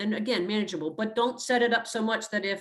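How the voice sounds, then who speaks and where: At a very fast pace, a woman talks with a medium pitch. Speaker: health educator. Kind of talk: workshop presentation.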